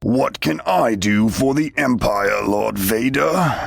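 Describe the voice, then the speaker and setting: Booming and growling, a man of medium pitch performs a put-on character voice at a fairly slow pace. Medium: read story.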